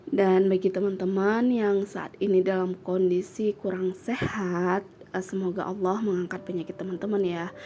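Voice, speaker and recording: Over noticeable background noise, a woman speaks at a moderate pace in a medium-pitched, monotone, flat voice, with hardly any pauses. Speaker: vlogger and housewife. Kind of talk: casual vlog talk to viewers. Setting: home, children nearby. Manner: casual, with many fillers.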